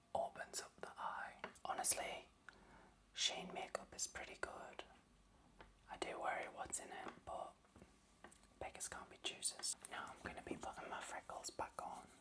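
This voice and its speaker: Whispering at a fairly slow pace, a woman leaves long, frequent pauses. Big swings in loudness come through over noticeable background noise. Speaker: ASMR creator. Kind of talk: ASMR makeup tutorial talking to camera. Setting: close-up microphone, studio. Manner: whispered, soft-spoken, slow, relaxing.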